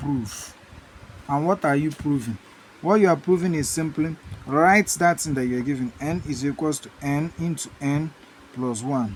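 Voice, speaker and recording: This man has an unremarkable speaking voice, with a fairly high pitch, ordinary pitch variation and a moderate pace. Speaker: math teacher. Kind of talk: lecture.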